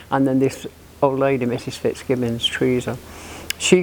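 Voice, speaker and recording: A woman keeps a medium tempo while noticeable background noise carries on underneath. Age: 70s. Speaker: local resident sharing memories. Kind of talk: oral history interview.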